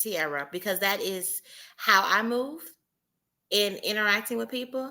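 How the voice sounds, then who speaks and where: With a Southern US accent, a woman speaks at a fairly slow pace in a bright, sharp tone. The recording is very clean, with a silent background. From US South. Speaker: entrepreneur panelist. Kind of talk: panel discussion.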